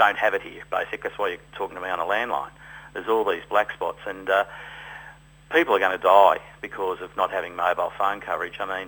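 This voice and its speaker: A man with an Australian accent talks at a very fast pace. His loudness swings by a lot. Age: 60s. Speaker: winegrower and volunteer firefighter. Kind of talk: radio interview.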